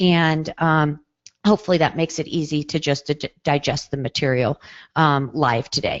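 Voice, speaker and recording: With ordinary pitch variation, a woman speaks in a very deep, low register. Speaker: psychologist and webinar presenter. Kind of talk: webinar presentation. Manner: fast.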